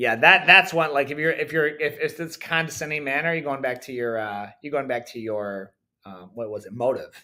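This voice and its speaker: A man with a fairly high pitch and a bright, sharp tone speaks at a moderate pace, his intonation lively and his loudness swinging widely. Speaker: jiu-jitsu coach. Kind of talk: casual chat. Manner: halting, many restarts.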